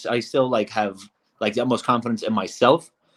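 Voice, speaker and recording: The man talks with a slight Brooklyn accent. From Brooklyn, New York. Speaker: reality show contestant. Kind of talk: interview.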